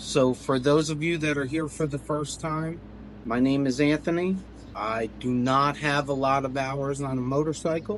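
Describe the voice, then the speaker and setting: At a moderate pace, a man with a fairly high pitch talks in a normal speaking voice, his intonation fairly even. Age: 40s. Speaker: motorcycle vlogger. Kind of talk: personal account to camera.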